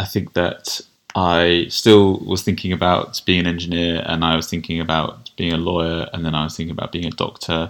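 In a southern English accent, the speaker talks at a fairly quick pace with monotone, flat intonation. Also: man, very deep, low pitch for a man. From southern England (Kent). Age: 30s. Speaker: general practitioner. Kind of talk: interview. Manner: hesitant, with fillers.

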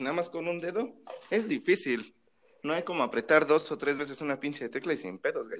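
Fairly high-pitched with vocal fry, a man talks at a fairly quick pace using lively intonation. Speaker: podcast co-host. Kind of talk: casual chat.

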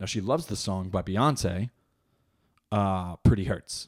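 A man talks at a fairly slow pace and a fairly low pitch, with ordinary pitch variation. The recording is very clean with a silent background, and the sound is dry and close with no echo. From New Jersey. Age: 20s. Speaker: comedian and podcast host. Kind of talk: casual comedic monologue. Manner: halting, many fillers.

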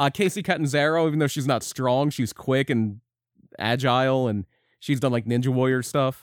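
A man with an unremarkable speaking voice talks at a moderate pace, with medium pitch, ordinary pitch variation and very even loudness. The recording is very clean, with a silent background. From Philadelphia area. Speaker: podcast co-host. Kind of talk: casual chat. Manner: laughs often.

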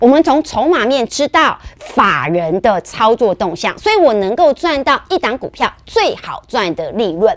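Her pitch is high and swings very widely. The woman talks at a fairly slow pace. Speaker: stock market analyst. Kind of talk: market commentary show. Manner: animated.

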